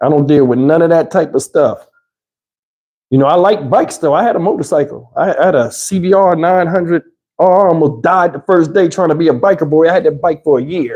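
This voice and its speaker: A fairly quick pace, with a dark, mellow tone and ordinary pitch variation. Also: man, high pitch for a man. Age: 50s. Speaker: YouTuber. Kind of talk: live stream chat. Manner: casual, conversational.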